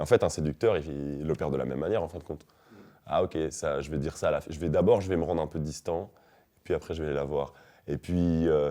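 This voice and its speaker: Vocal fry runs through a dark, mellow tone delivered at a very fast pace with fairly even intonation. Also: man, very deep, low pitch for a man. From Belgium. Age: 20s. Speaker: rapper. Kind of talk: interview answer.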